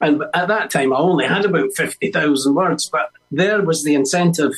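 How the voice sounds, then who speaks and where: With music in the background, a man with a Scottish accent speaks at a moderate pace in a high voice with ordinary pitch variation. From Scotland, Edinburgh. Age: 70s. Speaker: musician and author. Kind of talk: interview. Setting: radio broadcast.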